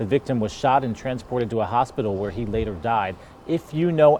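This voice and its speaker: Noticeable background noise accompanies a man talking at a fairly quick pace with lively intonation. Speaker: TV news anchor. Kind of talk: TV news broadcast read. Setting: studio.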